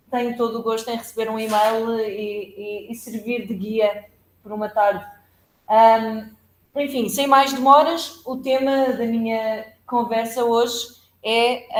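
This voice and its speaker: Fairly high in pitch, a woman speaks at a very slow pace with fairly even intonation. The room gives off audible echo. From Portugal. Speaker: law professor. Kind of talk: academic lecture. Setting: seminar room with hybrid audience. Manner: halting, many fillers.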